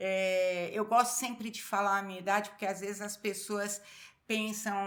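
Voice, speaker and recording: Here is a woman with an unremarkable speaking voice at medium pitch. Her intonation is fairly even. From Brazil. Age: 60s. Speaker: pastor. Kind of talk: casual interview chat.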